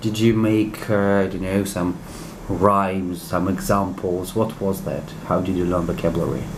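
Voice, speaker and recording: With a Russian accent, a man speaks at a moderate pace amid noticeable background noise and audible room echo. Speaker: interviewer, English teacher. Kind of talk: interview.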